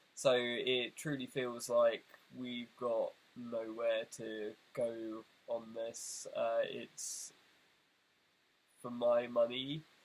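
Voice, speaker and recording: A man's medium-pitched voice with a British accent, at a very slow pace with long, frequent pauses and monotone, flat intonation. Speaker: video essayist. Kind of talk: casual direct-to-camera address. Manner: hesitant, many fillers.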